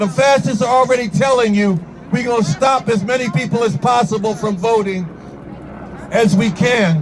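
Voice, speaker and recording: Against crowd noise in the background, a man with an American accent speaks at a moderate pace in an animated tone, pitched high, with ordinary pitch variation. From New York. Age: 70s. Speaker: activist. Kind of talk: protest speech. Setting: outdoor protest rally.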